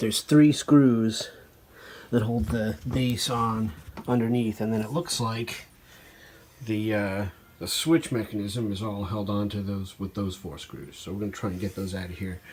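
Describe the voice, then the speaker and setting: A man's somewhat breathy voice. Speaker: antique fan restorer, hobby video maker. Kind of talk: casual tutorial-style narration. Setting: workshop table. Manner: hesitant, many fillers.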